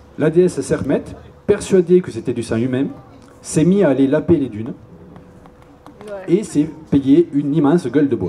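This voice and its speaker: A man speaks at a moderate pace with a Toulouse accent and lively intonation. Long, frequent pauses break up his speech over noticeable background noise. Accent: southern French (Toulouse), sing-song. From Toulouse, southern France. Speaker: YouTuber, cultural video maker. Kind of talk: public lecture. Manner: casual, humorous.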